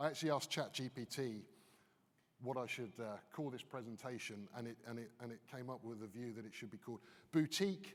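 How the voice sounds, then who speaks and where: At a fairly quick pace, a man with a British accent talks at a medium pitch with ordinary pitch variation. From United Kingdom. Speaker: business consultant. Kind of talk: conference keynote. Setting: stage with audience.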